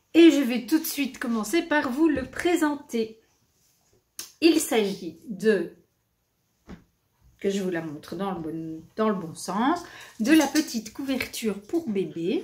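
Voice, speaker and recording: With a Belgian accent, a woman speaks very slowly at a fairly high pitch, with very wide pitch swings, big swings in loudness and long, frequent pauses. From Belgium. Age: 50s. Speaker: knitting video host. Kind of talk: casual chat to viewers. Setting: at home.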